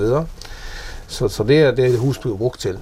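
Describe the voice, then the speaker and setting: A man is speaking. The room echo is audible. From Faroe Islands. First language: Faroese (speaking Danish). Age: 50s. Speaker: businessman. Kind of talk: casual interview. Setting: at home in an old house. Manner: halting, many repeated words.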